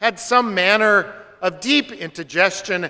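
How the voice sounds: The clip is a natural reading voice with ordinary pitch variation.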